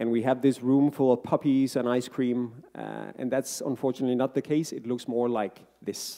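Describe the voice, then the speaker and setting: A man talks at a moderate pace with a non-native accent. His tone is dark and mellow. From Denmark. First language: Danish. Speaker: happiness researcher and author. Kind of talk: book talk to live audience. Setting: stage with audience. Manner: hesitant, many fillers.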